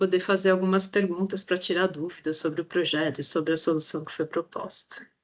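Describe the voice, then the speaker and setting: A woman's flat monotone at a medium pitch, delivered at a fairly quick pace. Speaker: project coordinator presenting an education challenge. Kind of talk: online presentation.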